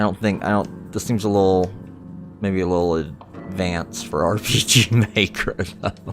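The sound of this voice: The clip is an unforced reading voice with fairly even intonation.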